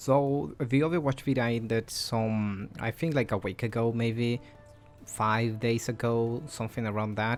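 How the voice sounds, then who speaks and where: A man's medium-pitched voice at a fairly slow pace, with ordinary pitch variation and music in the background. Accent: non-native. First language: non-native English speaker. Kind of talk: casual unscripted game commentary. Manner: hesitant, many fillers.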